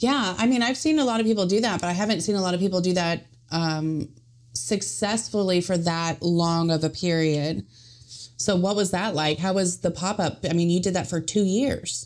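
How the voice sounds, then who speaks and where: A woman with an ordinary speaking voice talks at a moderate pace and very even loudness, her pitch fairly low, on a very clean recording with a silent background. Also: ordinary pitch variation. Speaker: podcast host. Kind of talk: casual interview chat.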